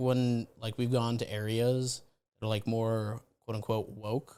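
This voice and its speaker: A man of medium pitch with a Chicago accent, at a fairly slow pace, in a very clean recording with a silent background. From Chicago, South Side. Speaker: comedian, podcast co-host. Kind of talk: casual chat. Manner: halting.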